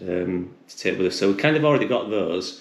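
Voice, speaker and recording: A man speaks at a moderate pace in a fairly low voice. The room echo is audible. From UK. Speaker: hiker. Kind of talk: casual chat. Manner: halting, many repetitions.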